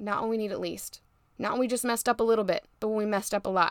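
A woman talks in an animated, warm tone at a fairly high pitch. The recording is very clean, with a silent background. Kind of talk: pep talk. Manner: warm, encouraging, preachy.

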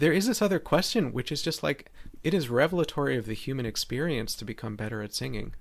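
This man talks with lively intonation and vocal fry. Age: 40s. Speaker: voice teacher. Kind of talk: casual chat. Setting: video call.

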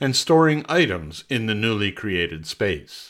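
Speaking at a fairly slow pace with very wide pitch swings, a man with a Canadian accent is heard on a very clean recording with a silent background. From Montreal, Quebec. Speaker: personal essayist. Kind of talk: reading aloud.

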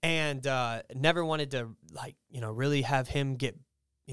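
A man's plain, everyday voice, fairly high in pitch, with a dry, close sound and no echo. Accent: American. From Texas. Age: 30s. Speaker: guest sharing faith testimony. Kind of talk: testimony in casual chat.

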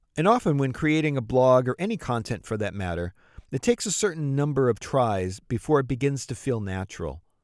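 A man's medium-pitched, fairly quick, lively speech on a very clean recording with a silent background, an ordinary speaking voice. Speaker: podcast host. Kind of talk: scripted narration and interview questions.

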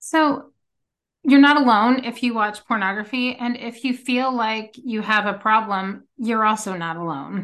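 A woman has an unremarkable speaking voice, fairly high in pitch with ordinary pitch variation. She speaks at a fairly slow pace against a quiet background. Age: 40s. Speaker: podcast host. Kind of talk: interview.

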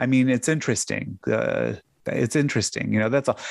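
This man has an American accent. The sound is dry and close with no echo, and the background is quiet. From US Midwest (south side of Chicago). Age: 50s. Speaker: podcaster and tax business owner. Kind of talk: casual chat.

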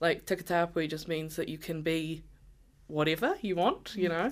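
Woman with a New Zealand accent, fairly low pitch, ordinary pitch variation and a fairly slow pace, on a very clean recording with a silent background. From New Zealand (Māori, Ngāi Tahu). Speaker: rainbow community advocate. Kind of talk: casual chat.

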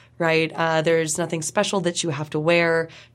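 A woman speaks in a plain, everyday voice, fairly low in pitch, with an American accent at a moderate pace. The recording is very clean, with a silent background. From California. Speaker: political science professor. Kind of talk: interview.

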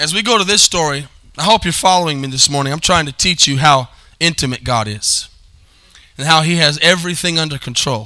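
A man's fairly high voice, bright and sharp in tone, at a fairly quick pace with ordinary pitch variation

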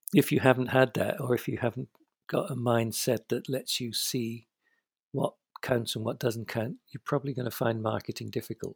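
In a British accent, a man speaks at medium pitch and moderate pace, somewhat breathy, with fairly even intonation and a dry, close sound with no echo. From Britain. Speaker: novelist. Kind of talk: casual chat.

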